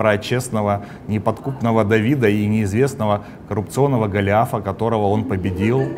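Over light background noise, a man talks at a moderate pace. His tone is animated. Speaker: comedy show host. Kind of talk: satirical show monologue and interview. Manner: animated, sarcastic. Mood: ironic, mocking. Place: studio. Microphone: lapel.

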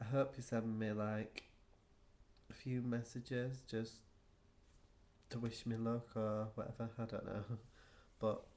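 With long, frequent pauses, a man speaks in a monotone, flat intonation. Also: fairly slow pace. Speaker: vlogger. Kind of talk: casual vlog chat. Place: home room. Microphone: webcam.

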